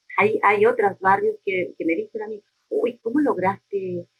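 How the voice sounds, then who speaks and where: The delivery is fairly slow, with a dry, close sound and no echo. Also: woman. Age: 60s. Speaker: neighborhood community leader. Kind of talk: interview.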